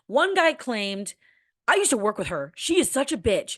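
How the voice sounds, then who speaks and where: Against a quiet background, a woman talks in an animated tone with very wide pitch swings. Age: young. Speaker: radio and TV broadcaster. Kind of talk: casual vlog monologue.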